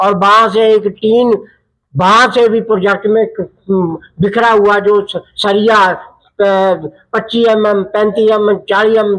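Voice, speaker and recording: The man's voice is high in pitch. He delivers every line in a flat monotone. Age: 70s. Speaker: villager interviewed. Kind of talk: interview.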